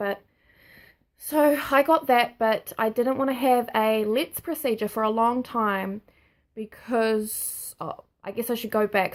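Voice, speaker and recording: Heard on a very clean recording with a silent background, a woman with a New Zealand accent speaks in a fairly high pitch with ordinary pitch variation. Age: 20s. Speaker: nursing student sharing health diagnosis. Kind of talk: personal vlog testimony. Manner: halting.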